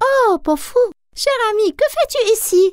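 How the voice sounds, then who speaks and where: In a cartoonish character voice, a woman speaks at a fairly slow pace with an extremely high, squeaky pitch, very wide pitch swings and a gentle tone, the sound dry and close with no echo. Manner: gentle, sweet.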